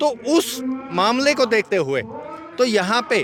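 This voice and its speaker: A man's voice over music in the background. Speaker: school committee vice-president. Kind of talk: interview. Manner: formal.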